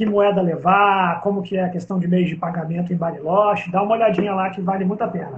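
Fairly even intonation runs through this very fast delivery. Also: man, high pitch for a man, hardly any pauses. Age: 40s. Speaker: travel agency co-host. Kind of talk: casual live stream chat.

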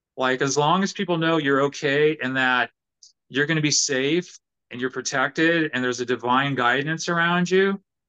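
A man's fairly high, bright and sharp voice in a Californian accent, at a moderate pace with ordinary pitch variation. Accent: Californian American. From Southern California, Orange County. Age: 50s. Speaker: professional guitarist. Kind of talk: casual interview chat.

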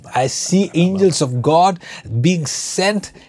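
Excited in tone, the voice comes through over noticeable background noise. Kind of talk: preacher in full flow, charismatic sermon. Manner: rising, excited, repeating phrases for emphasis as he proclaims visions.

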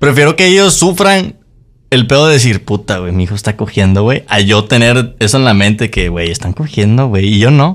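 The pitch swings very widely as this man speaks. His voice sits at a medium pitch and moves at a moderate pace. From Mexico. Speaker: podcast co-host. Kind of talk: casual chat.

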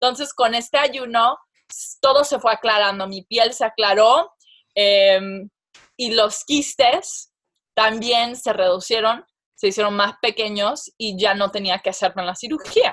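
This woman's pitch shows ordinary variation. She talks fairly slowly. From Mexican and Persian family. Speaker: comedic actress and social media influencer. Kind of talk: casual interview. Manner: halting, repeats words.

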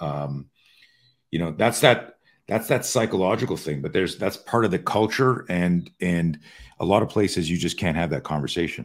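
A man with a very deep, low pitch speaks with lively intonation. The recording is very clean, with a silent background. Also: moderate pace. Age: 60s. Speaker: self-defense expert and podcast host. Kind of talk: casual interview chat.

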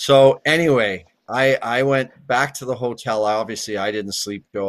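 Over a quiet background, a man with a western Canadian accent keeps his intonation fairly even. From Canada, near Edmonton, Alberta. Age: 50s. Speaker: retired hockey player. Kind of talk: interview.

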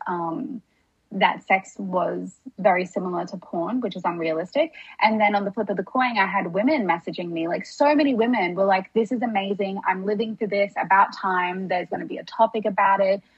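Speaking at a fairly quick pace with an Australian accent, a woman sounds somewhat breathy, her pitch varying in an ordinary way. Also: medium pitch for a woman. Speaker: podcast guest, wellness creator. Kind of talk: casual chat.

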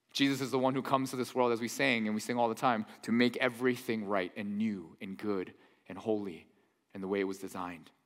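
A man's very fast, animated delivery with ordinary pitch variation. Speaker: pastor. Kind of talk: sermon. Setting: church.

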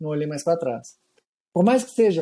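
A man's dark, mellow tone with lively intonation. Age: 40s. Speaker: trail running magazine writer. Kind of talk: casual chat.

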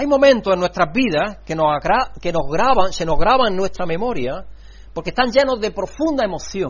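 Very wide pitch swings mark a man's high-pitched voice. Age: 60s. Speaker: pastor. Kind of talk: sermon. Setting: church.

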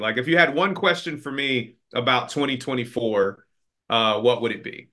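At a moderate pace, the speaker uses an unremarkable speaking voice with ordinary pitch variation. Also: man. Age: 40s. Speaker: field service executive. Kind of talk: casual interview.

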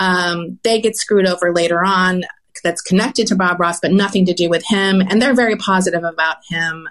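In a plain, everyday voice, a woman with an American accent talks at medium pitch and a fairly quick pace, her loudness very even against a quiet background. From US South. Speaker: podcast host. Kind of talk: casual chat.

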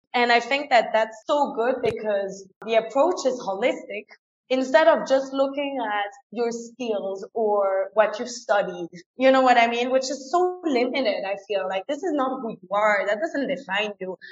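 With lively intonation, a woman talks at a high pitch and a moderate pace. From France. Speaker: career coach. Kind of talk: interview. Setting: video call.

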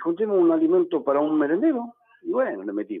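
The man speaks at a moderate pace. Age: 60s. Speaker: former footballer and event organizer. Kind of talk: radio phone interview. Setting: phone call.

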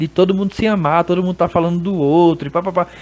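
The speaker is a man. His pitch is high. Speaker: barber. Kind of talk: casual chat. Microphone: feedback echo on his audio.

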